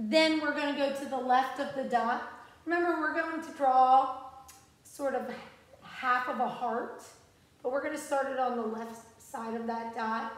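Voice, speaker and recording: Long, frequent pauses break up a woman's high-pitched speech, which has fairly even intonation. Audible room echo surrounds her voice. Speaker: music teacher. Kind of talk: tutorial. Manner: slow, patient and encouraging. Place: classroom. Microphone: phone near.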